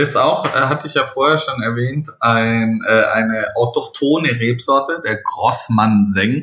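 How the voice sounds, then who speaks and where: This man's voice is bright and sharp in tone, medium in pitch, with ordinary pitch variation. He goes at a fairly slow pace with hardly any pauses. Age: 30s. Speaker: sommelier. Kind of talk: wine tasting chat. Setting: video call from home.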